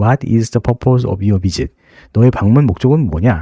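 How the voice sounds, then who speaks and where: A man speaks in a medium pitch with a dark, mellow tone. The sound is dry and close, with no echo. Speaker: travel guide. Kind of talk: tutorial. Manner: casual, hesitant with fillers.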